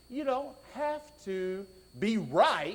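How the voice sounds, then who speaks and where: A man speaks with a Southern US accent, and some room echo can be heard. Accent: Southern drawl. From US South (raised in Georgia). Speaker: preacher. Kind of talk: sermon.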